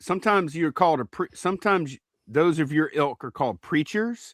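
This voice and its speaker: On a very clean recording with a silent background and a dry, close sound with no echo, a man speaks at a moderate pace with a fairly high pitch and lively intonation. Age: 30s. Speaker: podcast co-host. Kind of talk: casual podcast chat. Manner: halting, repeats words.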